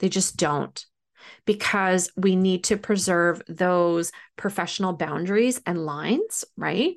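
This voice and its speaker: Speaking very slowly at a medium pitch with ordinary pitch variation, a woman keeps her loudness very even against a quiet background. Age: 40s. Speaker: professional medium and spiritual mentor. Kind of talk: solo podcast monologue. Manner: animated.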